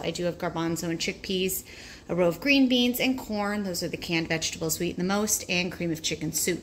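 Over light background noise, a woman talks at a fairly quick pace with ordinary pitch variation. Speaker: home food storage vlogger. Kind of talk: casual tour narration. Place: home room. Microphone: phone near.

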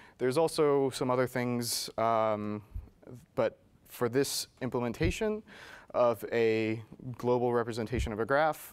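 With long, frequent pauses, a man speaks at a fairly slow pace and keeps his intonation fairly even. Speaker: presenter at tech meetup. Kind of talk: presentation. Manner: halting. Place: meeting room. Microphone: lapel.

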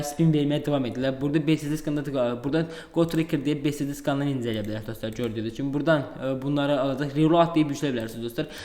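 A man with a fairly high pitch speaks at a fairly quick pace with fairly even intonation over noticeable background noise. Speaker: crypto YouTuber. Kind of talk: screen-share tutorial. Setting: at home.

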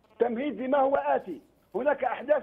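Against noticeable background noise, a man speaks at a moderate pace in an extremely high pitch. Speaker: former judge. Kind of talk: political talk show debate.

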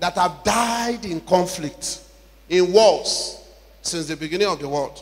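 Ordinary pitch variation from a male speaker. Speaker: preacher at a conference. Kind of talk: sermon. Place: church. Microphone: handheld.

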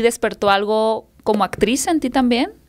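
This woman has a Mexican accent and a fairly high pitch. Her pitch variation is ordinary, and the background is quiet. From Mexico. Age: 30s. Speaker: podcast host. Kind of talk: interview. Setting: studio. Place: studio. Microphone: studio mic.

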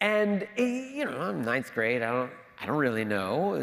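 His pitch rises and falls across a very wide range. The man talks in an American accent. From Washington, D.C. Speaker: history professor and author; history professor. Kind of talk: public lecture. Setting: church sanctuary with audience. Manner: repeats words, hesitant starts. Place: church. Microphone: lapel.

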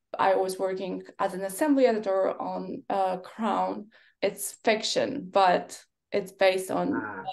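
A woman speaks with a Polish accent. The background is quiet. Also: fairly slow pace. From Poland. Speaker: film and TV editor. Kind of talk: panel discussion. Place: home room. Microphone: webcam.

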